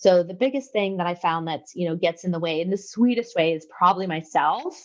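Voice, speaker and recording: Here a woman talks at a fairly quick pace with ordinary pitch variation. She has an unremarkable speaking voice. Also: medium pitch for a woman. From Canada. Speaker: business owner. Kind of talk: interview.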